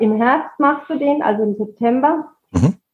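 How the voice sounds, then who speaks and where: This woman's voice sits high in pitch, with ordinary pitch variation and a fairly slow pace. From Austria, Salzburg (Pongau). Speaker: amateur triathlete. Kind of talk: casual interview.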